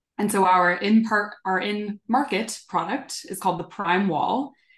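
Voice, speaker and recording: Speaking at a fairly slow pace, a woman uses a medium-pitched voice. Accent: American. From Southern California. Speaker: sustainability executive. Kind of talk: interview.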